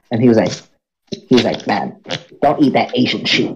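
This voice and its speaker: This man's voice has a gravelly vocal fry and leaps up and down in pitch very widely. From Philippines. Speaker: podcast co-host. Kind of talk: casual chat.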